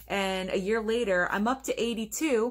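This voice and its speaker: The background is silent. A woman talks, her intonation fairly even. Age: 30s. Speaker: YouTuber, movie reviewer. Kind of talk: casual vlog monologue. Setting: home bedroom. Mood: upbeat, reflective. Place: home room. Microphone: webcam.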